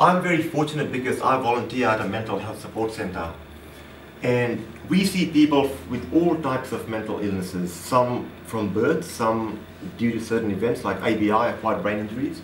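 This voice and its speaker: A man speaks at a medium pitch with lively intonation. The room echoes audibly, and background noise is noticeable. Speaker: public speaker and trainer. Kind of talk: seminar presentation. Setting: seminar room with audience. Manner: fast when excited; animated, interactive.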